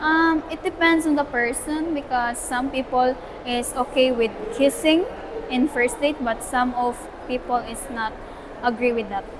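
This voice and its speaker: Amid noticeable background noise, a woman with a Filipino accent speaks fairly slowly in a high pitch with ordinary pitch variation. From Philippines. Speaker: student. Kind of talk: interview answer. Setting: outdoors.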